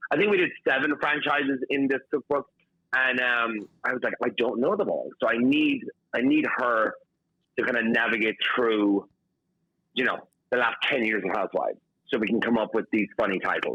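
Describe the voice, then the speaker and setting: A man's medium-pitched voice at a moderate pace, with ordinary pitch variation and very even loudness. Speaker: chef and cookbook author. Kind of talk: casual interview. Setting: phone line to radio show. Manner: animated, filler-heavy.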